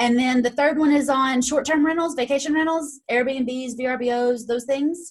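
With an East Tennessee accent, a woman speaks at a fairly slow pace and a high pitch, her intonation fairly even, her loudness very even, and hardly any pauses. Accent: Southern US (East Tennessee). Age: 30s. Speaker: real estate investor and coach. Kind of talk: interview.

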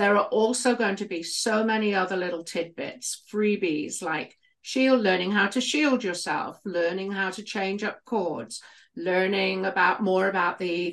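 Speaking at a fairly slow pace, a woman with a British accent uses a medium pitch and ordinary pitch variation. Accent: British, noticeable. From United Kingdom. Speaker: healer and former midwife. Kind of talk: casual chat, podcast conversation.

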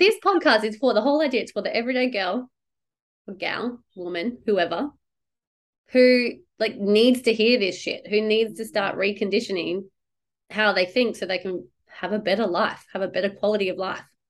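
An animated woman talks with an Australian accent at a fairly high pitch. Her pace is moderate and her pitch variation ordinary. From Perth, Western Australia. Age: 30s. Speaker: podcast host, business coach. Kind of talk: casual interview chat.

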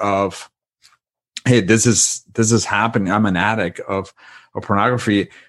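This man speaks with a Spanish accent at a fairly low pitch. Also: quiet background. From Spain, Madrid. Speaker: author and marriage retreat facilitator. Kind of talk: interview, faith-based conversation.

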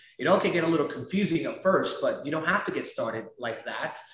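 A man at a moderate pace, with audible room echo. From Peru. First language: Spanish. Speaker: real estate investor. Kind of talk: interview. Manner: animated.

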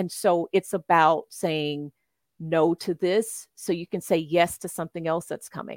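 A woman with an American accent speaks in a plain, everyday voice, fairly low in pitch, at a fairly slow pace with fairly even intonation. The recording is very clean with a silent background and a dry, close sound with no echo. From US South, Memphis, Tennessee. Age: 50s. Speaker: tarot reader. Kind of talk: casual interview.

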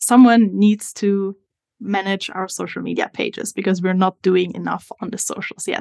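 With an Italian accent, a woman talks at a moderate pace and medium pitch with ordinary pitch variation, recorded dry and close with no echo. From Italy. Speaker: social media strategist. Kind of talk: interview conversation.

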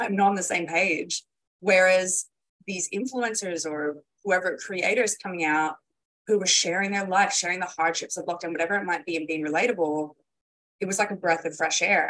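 Ordinary pitch variation, medium pitch and a moderate pace from a woman with a plain, everyday voice. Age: 20s. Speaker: copywriter and marketing expert. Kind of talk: casual interview chat.

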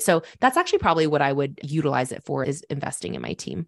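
A woman talks very fast in a very deep, low pitch with vocal fry. The background is quiet. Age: 20s. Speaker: entrepreneur and podcast host. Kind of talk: casual chat. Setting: studio, in person.

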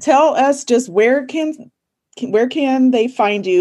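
A woman is speaking. Her tone is dark and mellow. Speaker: podcast host and IEP coach. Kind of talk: casual interview chat.

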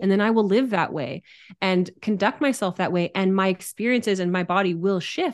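A woman talks in an ordinary speaking voice at a medium pitch, with ordinary pitch variation. Her pace is moderate, and the background is quiet. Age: 30s. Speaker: human design teacher. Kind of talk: casual chat.

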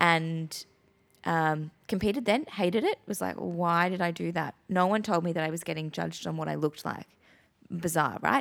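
In a very clean recording with a silent background, a woman with an Australian accent speaks at a moderate pace, her fairly low voice showing ordinary pitch variation. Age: 30s. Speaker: podcast host, posing coach and business owner. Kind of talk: casual chat.

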